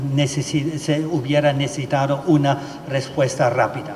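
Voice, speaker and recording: A man with a German accent speaks at a moderate pace in a fairly high, flat monotone, with audible room echo and noticeable background noise. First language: German (speaking Spanish). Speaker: legal expert speaker. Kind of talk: conference presentation. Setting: judicial plenary session hall. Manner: halting, many filler sounds.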